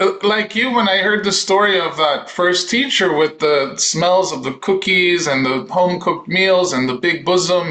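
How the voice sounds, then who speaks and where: A man with a Spanish accent speaks in a high pitch at a moderate pace, with ordinary pitch variation, hardly any pauses, and noticeable background noise. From Dominican Republic. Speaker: voice teacher. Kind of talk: casual chat.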